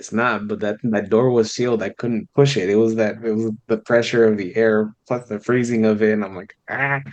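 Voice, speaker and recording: At a moderate pace and medium pitch, a man speaks with a Spanish accent in a monotone, flat intonation, with hardly any pauses. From Southern California and Baja California. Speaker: musician. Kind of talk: casual interview chat.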